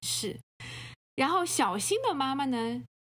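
Her voice has vocal fry and swings very widely in pitch. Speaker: podcast co-host. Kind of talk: casual chat.

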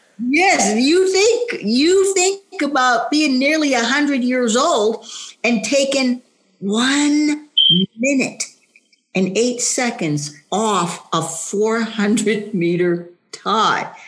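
Speaking very slowly, a woman uses a high pitch that swings very widely. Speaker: senior track athlete. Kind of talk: casual chat.

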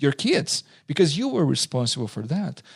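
A man with a fairly high pitch speaks at a moderate pace, his voice somewhat breathy and the sound dry and close with no echo. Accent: Portuguese. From southern Brazil. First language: Portuguese. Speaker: pastor and seminary teacher. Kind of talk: interview.

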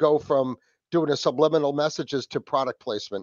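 A man with a New England accent speaks fairly quickly in a fairly high voice. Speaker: podcast host. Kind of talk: casual chat. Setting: video call.

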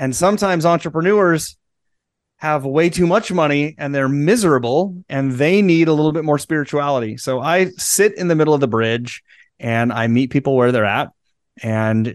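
Against a quiet background, a man with a plain, everyday voice speaks at a moderate pace, his fairly high pitch carrying lively intonation. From US Midwest, central Nebraska. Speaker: transformational guide. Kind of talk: interview.

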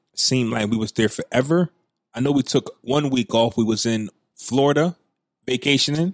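The speaker is a man with an ordinary speaking voice. He talks at a moderate pace and a medium pitch. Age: 30s. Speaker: podcast host. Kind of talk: casual banter podcast chat.

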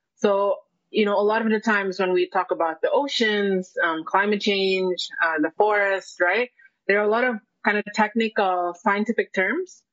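A woman's medium-pitched voice with an Indonesian accent. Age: young. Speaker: environmental economist. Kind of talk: panel discussion. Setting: live stream. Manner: halting.

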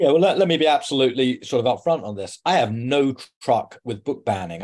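A man speaks at a fairly quick pace with ordinary pitch variation against a quiet background. He has an unremarkable speaking voice. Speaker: journalist. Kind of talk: interview. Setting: home.

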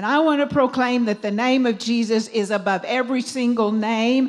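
The speaker has a plain, everyday voice with fairly even intonation. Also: woman. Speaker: minister and singer. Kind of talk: sermon. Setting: church.

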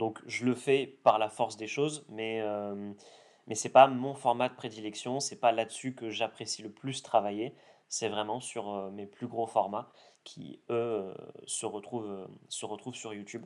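A man's fairly slow, medium-pitched speech with fairly even intonation and big swings in loudness. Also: very clean recording, silent background. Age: 20s. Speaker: content creator. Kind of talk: interview. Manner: hesitant with fillers.

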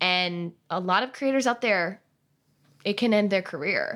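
In a very clean recording with a silent background, a woman with a bright, sharp tone speaks at a medium pitch and a fairly slow pace. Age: 20s. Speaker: wedding videographer and educator. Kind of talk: interview. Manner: rambling.

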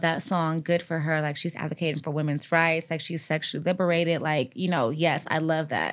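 A woman's unremarkable speaking voice, fairly low-pitched and at a fairly quick pace, on a very clean recording with a silent background. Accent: American. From US Midwest, Gary, Indiana. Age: 30s. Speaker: therapist. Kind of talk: casual chat.

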